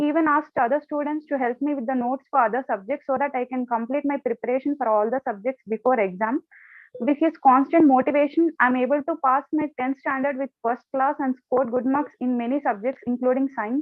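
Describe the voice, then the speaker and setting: Music plays in the background behind a speaker with an Indian accent. The delivery is fairly quick, with hardly any pauses and fairly even intonation. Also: woman, high pitch for a woman. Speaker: volunteer. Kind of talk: personal testimony.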